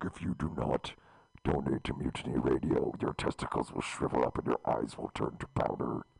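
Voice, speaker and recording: A man uses a put-on character voice with a menacing tone. It sits at a very deep, low pitch and moves at a moderate pace. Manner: menacing, threatening.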